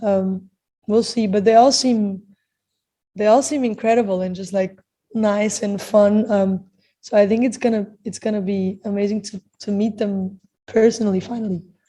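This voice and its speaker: In a Portuguese accent, a woman speaks at a moderate pace with medium pitch. Her somewhat breathy voice has a dark, mellow tone and monotone, flat intonation. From Portugal. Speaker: singer. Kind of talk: interview. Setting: video call.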